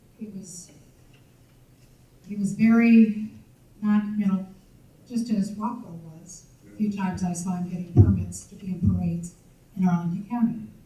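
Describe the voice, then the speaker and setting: A woman's medium-pitched voice at a moderate pace, fairly even in intonation, with long, frequent pauses, big swings in loudness and audible room echo. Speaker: audience member, former police records supervisor. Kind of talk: audience Q&A remarks at a history talk. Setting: audience at a public lecture. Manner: halting.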